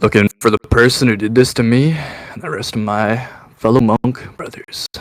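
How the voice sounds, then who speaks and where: Using a put-on character voice, a man talks at a medium pitch and a moderate pace. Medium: actual play. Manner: swaggering, casual.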